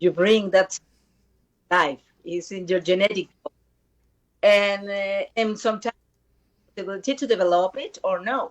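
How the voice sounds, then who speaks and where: A woman with a Spanish accent speaks at a medium pitch and a moderate pace. Her pitch variation is ordinary, and she takes long, frequent pauses. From Costa Rica. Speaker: singer-songwriter. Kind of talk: interview. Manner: halting. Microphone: connection problems.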